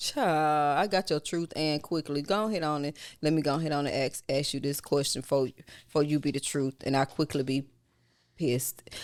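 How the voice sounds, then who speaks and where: On a very clean recording with a silent background, a woman speaks. Her pitch is very deep and low, and she has a Southern US accent. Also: moderate pace. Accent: Southern country dialect. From US South. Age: 40s. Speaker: podcast host, mother. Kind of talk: casual chat. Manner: animated.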